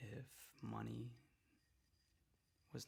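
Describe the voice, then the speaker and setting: A soft-spoken man whispering. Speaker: ASMR artist. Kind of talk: ASMR roleplay reiki session. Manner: soft-spoken, whispering, calming.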